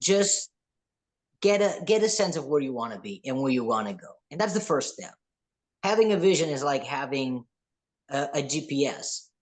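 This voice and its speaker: A man with a fairly high pitch at a moderate pace, with very wide pitch swings, big swings in loudness and long, frequent pauses. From New York, grew up partly in Spain. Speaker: podcast host. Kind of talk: motivational interview talk.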